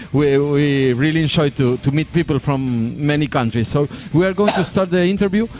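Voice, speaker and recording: Music plays in the background as a man with a Spanish accent speaks at a moderate pace. His pitch is fairly high and his intonation lively. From Argentina. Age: 40s. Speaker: radio host. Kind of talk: interview. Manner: halting.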